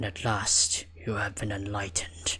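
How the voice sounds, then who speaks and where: Over light background noise, a man whispers in a raspy, put-on character voice. He keeps a moderate pace. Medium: actual play. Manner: whispering, seductive.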